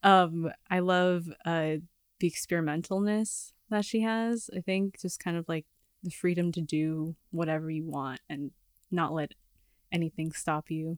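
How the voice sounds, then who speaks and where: A woman with an American accent uses a normal speaking voice, fairly low in pitch with fairly even intonation, at a fairly slow pace. The recording is very clean, with a silent background and a dry, close sound with no echo. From Los Angeles. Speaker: singer-songwriter and filmmaker. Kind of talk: casual interview. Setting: studio.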